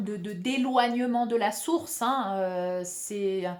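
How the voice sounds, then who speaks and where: The woman talks very slowly. Her pitch shifts in an ordinary way. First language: Spanish (speaking French). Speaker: spiritual healer and video channel host. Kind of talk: spiritual talk to camera. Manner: hesitant, many fillers and repetitions.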